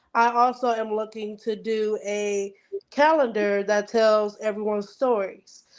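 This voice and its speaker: Against a quiet background, a woman speaks in a fairly high voice with monotone, flat intonation. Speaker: event coordinator for the group. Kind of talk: casual chat.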